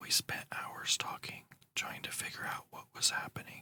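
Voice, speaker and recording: The voice is whispering in a soothing tone. It keeps a moderate pace. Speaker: ASMR channel host. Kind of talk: whispered horror story reading. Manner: whispered, soothing.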